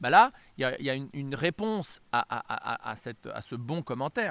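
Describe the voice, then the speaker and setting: A man speaks with ordinary pitch variation. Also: very clean recording, silent background. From France-US bicultural. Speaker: religious teacher. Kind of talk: lecture. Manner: halting, many hesitations.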